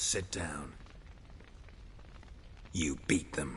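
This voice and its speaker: A man's put-on character voice at a very deep, low pitch, over clear background noise. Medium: short film. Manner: terse, clipped, dry.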